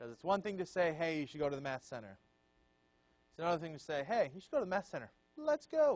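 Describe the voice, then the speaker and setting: A man talks at a very fast pace with a high pitch and lively intonation. His loudness swings widely, and he takes long, frequent pauses. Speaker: student leadership trainer. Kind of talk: training session lecture. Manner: casual and conversational.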